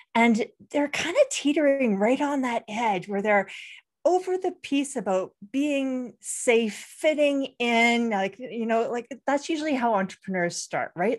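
A woman speaks at a moderate pace in a high voice with lively intonation. The background is quiet. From Canada. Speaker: brand designer and strategist, podcaster. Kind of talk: casual interview chat.

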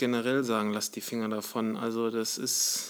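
This is a man speaking. His pace is fairly quick. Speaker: podcast co-host, former bodybuilding athlete. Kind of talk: casual chat.

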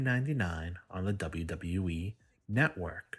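A man speaks at a very slow pace in a very deep, low voice. His tone is playful, with lively intonation. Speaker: wrestling podcast host. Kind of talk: solo podcast predictions. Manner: playful heel persona, boastful.

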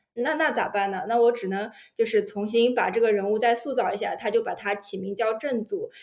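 A woman with an ordinary speaking voice, fairly high in pitch, with ordinary pitch variation. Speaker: podcast co-host, data journalist. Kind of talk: casual chat.

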